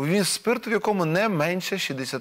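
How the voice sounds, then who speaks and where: The background is quiet. Here a man speaks at a moderate pace. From Ukraine. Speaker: TV host. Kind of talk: TV political talk show. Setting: TV studio. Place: studio. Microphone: lapel.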